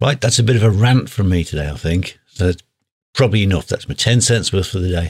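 A man with a British accent talks at a very fast pace. His voice is somewhat breathy and fairly low in pitch, with ordinary pitch variation. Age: 50s. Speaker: podcast host and guitar teacher. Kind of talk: solo podcast monologue. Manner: animated.

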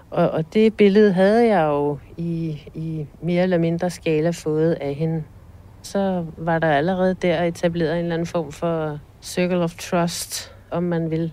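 A woman's dark, mellow voice, fairly low in pitch, with fairly even intonation and a very slow pace. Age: 40s. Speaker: fraud victim. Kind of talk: interview testimony. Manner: halting, with fillers.

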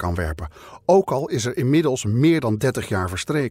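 On a very clean recording with a silent background, a man speaks at a moderate pace and medium pitch in a solemn tone with very wide pitch swings. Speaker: podcast narrator and investigator. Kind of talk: true-crime podcast narration, scripted and serious. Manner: measured, solemn, steady storytelling pace.

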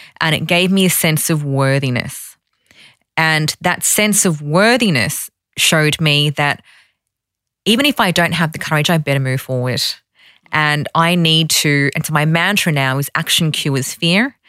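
In a very clean recording with a silent background, a woman speaks with an Australian accent at a moderate pace. Her pitch is very deep and low with ordinary variation, and her tone is bright and sharp. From Sydney, Australia. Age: 30s. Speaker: women's finance organisation founder. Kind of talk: interview.

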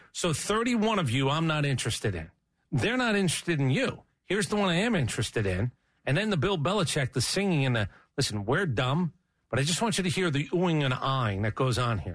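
A man with an American accent speaks very fast at a fairly high pitch, somewhat breathy, with very wide pitch swings. The background is quiet. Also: very even loudness. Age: 50s. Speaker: sports radio host. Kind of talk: casual chat.

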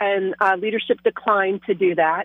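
A woman speaks with an American accent at a moderate pace. Hers is an unremarkable speaking voice with a medium pitch. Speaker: state legislator. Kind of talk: radio interview. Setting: phone call.

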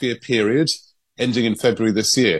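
A man with a plain, everyday voice speaks at medium pitch. His intonation is fairly even against a quiet background. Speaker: London-based news correspondent. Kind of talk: newsreading, briskly delivered. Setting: radio link-up with studio. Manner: fluent, measured, conversational.

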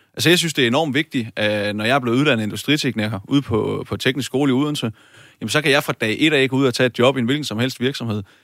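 The sound is dry and close with no echo, in a very clean recording with a silent background. A man talks very fast at a medium pitch. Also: ordinary pitch variation. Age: 20s. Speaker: parliamentary candidate, industrial technician. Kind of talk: political debate.

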